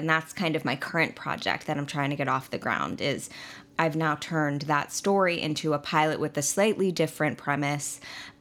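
In an American accent, the speaker has a bright, sharp tone with fairly even intonation at a moderate pace. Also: woman. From Long Island, New York. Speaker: actor and writer. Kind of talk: interview.

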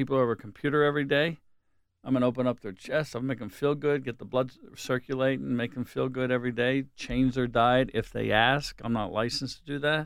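With a Pittsburgh accent, a man at medium pitch talks very fast with fairly even intonation. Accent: Western Pennsylvania (Pittsburgh). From Pittsburgh area, Pennsylvania. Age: 60s. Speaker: hair salon owner. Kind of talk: casual chat.

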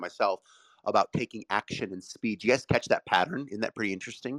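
A man with an American accent talks at a very fast pace and a fairly low pitch. The sound is dry and close with no echo. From US Midwest, Ohio. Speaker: room moderator, business owner. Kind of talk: panel discussion. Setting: live audio room online. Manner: fast talker.

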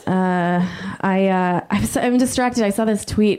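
A woman with an unremarkable speaking voice, medium pitch and ordinary pitch variation, on a very clean recording with a silent background. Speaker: stand-up comedian. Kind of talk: stand-up comedy. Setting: stage with audience.

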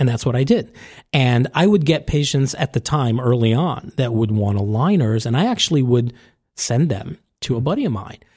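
A man with a medium pitch talks at a moderate pace with lively intonation and a somewhat breathy quality, on a very clean recording with a silent background. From New York (Staten Island). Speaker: orthodontist and tech founder. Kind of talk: casual interview. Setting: recorded at a conference.

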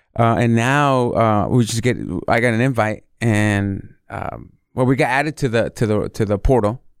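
At a moderate pace, a man with an American accent speaks in a plain, everyday voice at medium pitch with fairly even intonation. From born Mexico City, raised California. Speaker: chef. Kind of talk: casual interview.

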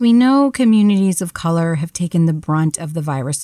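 On a very clean recording with a silent background, a woman with a normal speaking voice talks at a fairly quick pace in a fairly low pitch with ordinary pitch variation. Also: dry, close sound with no echo. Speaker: radio host. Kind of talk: radio news interview.

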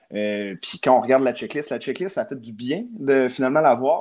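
A man talks at a moderate pace in a Quebec accent, his pitch fairly high. The recording is very clean, with a silent background. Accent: Québécois French. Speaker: hockey card collector and hobby shop figure. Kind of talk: casual chat.

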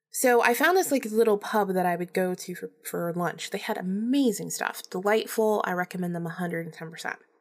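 A woman with a normal speaking voice talks at a fairly quick pace with hardly any pauses. Her pitch is medium and varies in an ordinary way. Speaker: podcast host. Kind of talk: solo storytelling monologue. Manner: casual, chatty, laughs often.

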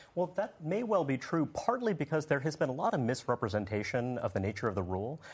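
The voice rushes at a very fast pace with very wide pitch swings. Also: man. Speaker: political analyst. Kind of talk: panel discussion. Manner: measured, analytical.

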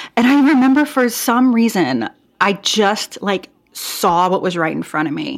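A woman with an American accent speaks at a fairly slow pace and fairly high pitch, with vocal fry. Her pitch swings very widely. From US Pacific Northwest, Portland, Oregon. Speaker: boutique owner and clothing designer, former physical therapist. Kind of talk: interview conversation.

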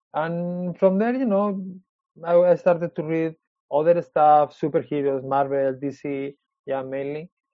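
Fairly slow and fairly high-pitched, a man speaks with a Spanish accent. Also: ordinary pitch variation. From Spain. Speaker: comic book artist. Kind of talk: casual interview. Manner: halting.

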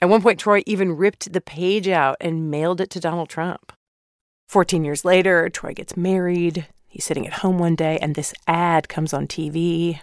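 Recorded very cleanly with a silent background and a dry, close sound with no echo, a woman with a fairly low pitch speaks in a normal speaking voice at a moderate pace with fairly even intonation. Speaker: podcast host. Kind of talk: scripted narration with interview clips.

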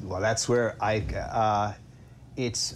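Very slow and somewhat breathy, a man speaks with an American accent. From upstate New York. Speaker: comedy writer. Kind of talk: casual interview chat.

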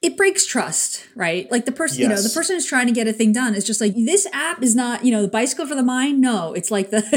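A high-pitched woman with an American accent speaks over noticeable background noise. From New York. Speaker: podcast co-host.

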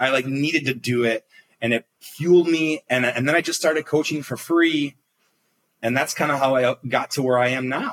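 A normal speaking voice moves at a moderate pace with fairly even intonation, the sound dry and close with no echo. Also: man, fairly high pitch for a man. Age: 30s. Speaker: executive coach. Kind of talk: casual chat.

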